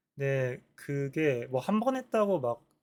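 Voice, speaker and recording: With lively intonation, a man speaks in a fairly high voice. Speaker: vlogger practicing speaking. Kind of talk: solo talk to camera. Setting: recording alone to camera. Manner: mumbled pronunciation; halting, many self-corrections.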